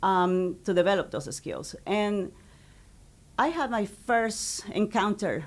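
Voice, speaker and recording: A woman speaks with a Spanish accent at a medium pitch. Her pace is very slow. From Ecuador. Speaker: high school Spanish teacher. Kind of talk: interview.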